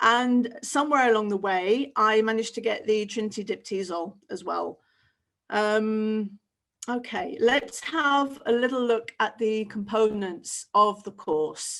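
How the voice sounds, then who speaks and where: A woman with a British accent talks at a fairly slow pace against a quiet background. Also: fairly high pitch for a woman, ordinary pitch variation. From Britain. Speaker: teacher trainer. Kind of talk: webinar presentation. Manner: casual, with frequent fillers. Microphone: webcam.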